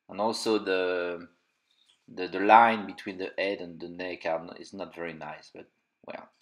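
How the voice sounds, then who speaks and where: A man with a French accent, very deep, low pitch, fairly even intonation, big swings in loudness and a moderate pace. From France. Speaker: toy collector and reviewer. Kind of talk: unboxing review. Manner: halting, many fillers.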